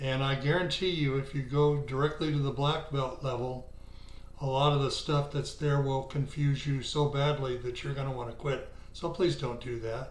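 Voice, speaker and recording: With noticeable background noise behind him, a man speaks in a fairly high pitch at a moderate pace, his intonation monotone and flat. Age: 70s. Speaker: bridge player. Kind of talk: casual talk to camera.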